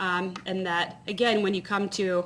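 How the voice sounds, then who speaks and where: A woman speaks in an American accent with noticeable background noise around her. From Georgia (US South). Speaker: conference speaker. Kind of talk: keynote talk. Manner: casual, many fillers.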